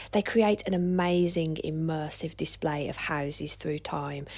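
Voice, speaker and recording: On a very clean recording with a silent background, a woman with a very deep, low pitch and vocal fry talks at a moderate pace. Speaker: social historian. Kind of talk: documentary vlog narration.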